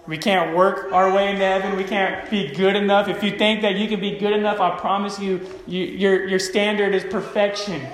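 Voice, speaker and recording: Over noticeable background noise, a high-pitched man talks at a fairly quick pace with hardly any pauses, his intonation monotone and flat. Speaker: pastor. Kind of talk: sermon. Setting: church with congregation and microphone. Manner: halting, many fillers.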